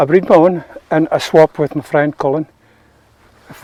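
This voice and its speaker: A dark, mellow tone in a Scottish Borders accent at a fairly quick pace, with a dry, close sound with no echo. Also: man. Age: 70s. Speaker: ferreter. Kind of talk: interview.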